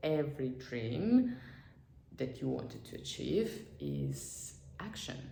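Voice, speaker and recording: A woman's voice with audible room echo. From Azerbaijan. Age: 20s. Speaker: vlogger and psychologist. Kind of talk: motivational vlog talk. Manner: halting, many fillers and repetitions.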